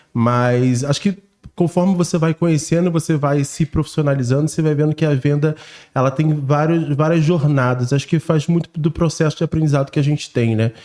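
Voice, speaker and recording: A man's fairly high voice at a fairly quick pace, dark and mellow in tone, with very even loudness and fairly even intonation. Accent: strong Carioca. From Brazil, Rio de Janeiro. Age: 30s. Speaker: sales strategist. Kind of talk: casual podcast chat.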